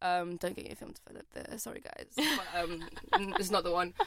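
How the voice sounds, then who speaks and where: A woman speaks with a London accent. Her pace is fairly quick. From London (born in Poland, moved at four). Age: 20s. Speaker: photographer. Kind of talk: casual interview chat.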